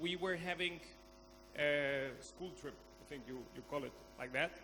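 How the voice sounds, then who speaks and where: A fairly high-pitched man at a fairly slow pace, with audible room echo. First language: Spanish. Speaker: conference speaker. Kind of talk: conference talk. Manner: halting.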